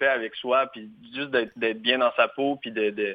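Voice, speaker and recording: Fairly slowly and with fairly even intonation, a man delivers his words. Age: 20s. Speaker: singer-songwriter. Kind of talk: interview.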